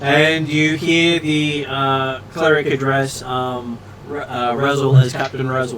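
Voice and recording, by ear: Intonation holds fairly even. The passage is read aloud in a natural voice.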